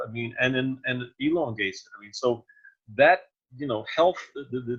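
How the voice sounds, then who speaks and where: Somewhat breathy, a man at a medium pitch speaks at a moderate pace with ordinary pitch variation and big swings in loudness. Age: 70s. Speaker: exercise trainer. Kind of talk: casual chat. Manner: animated.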